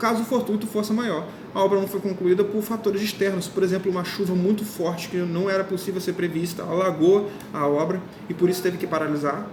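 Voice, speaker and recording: Noticeable background noise lies beneath speech delivered at a fairly quick pace. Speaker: law course teacher. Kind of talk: lecture. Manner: fast; informal.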